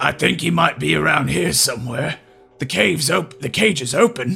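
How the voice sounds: A man puts on a raspy, guttural character voice at a medium pitch. Faint music plays in the background. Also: moderate pace.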